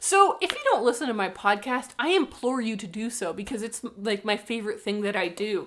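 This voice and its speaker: A woman's fairly high voice with lively intonation, a fairly quick pace and hardly any pauses, over noticeable background noise. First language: Spanish. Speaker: book vlogger. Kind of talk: casual vlog chat. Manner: animated.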